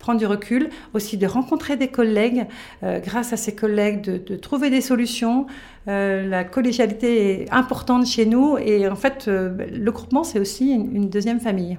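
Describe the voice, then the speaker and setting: A woman's fairly high, dark, mellow voice with ordinary pitch variation. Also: moderate pace. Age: 50s. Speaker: retail business owner. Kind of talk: interview. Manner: hesitant, with frequent fillers.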